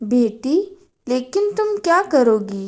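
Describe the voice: Putting on a cartoonish character voice, a woman speaks at a high pitch with very wide pitch swings.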